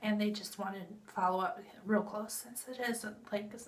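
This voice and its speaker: Delivery is fairly slow, with fairly even intonation. There is audible room echo. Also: woman. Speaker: vlogger sharing health update. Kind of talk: casual vlog update. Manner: conversational, with fillers.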